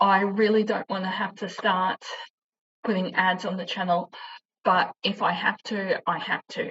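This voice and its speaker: With an Australian accent, a woman talks at a medium pitch and a fairly slow pace in a monotone, flat intonation. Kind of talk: informational vlog. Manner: halting, struggles with pronunciation.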